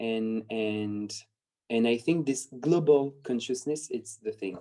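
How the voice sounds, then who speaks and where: A man's medium-pitched voice with a non-native accent, dark and mellow in tone, at a fairly slow pace with ordinary pitch variation. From France/Spain. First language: not English. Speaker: dancer. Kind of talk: interview. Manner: halting, many repetitions and fillers.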